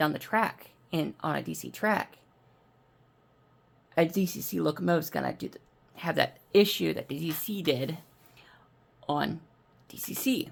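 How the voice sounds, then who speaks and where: A raspy, put-on character voice at middle pitch and a moderate pace. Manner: talking really fast.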